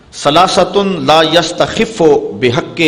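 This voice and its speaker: With vocal fry running through it, this man's voice carries lively intonation. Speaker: Islamic preacher giving a sermon. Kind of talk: religious sermon (bayan), emotional preaching.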